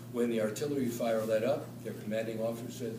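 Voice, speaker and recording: A man at a medium pitch with an American accent, monotone, flat intonation and a fairly quick pace, amid noticeable background noise and audible room echo. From New York City. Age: 70s. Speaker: retired professor and author. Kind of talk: lecture. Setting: talk to a club audience. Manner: halting, many fillers.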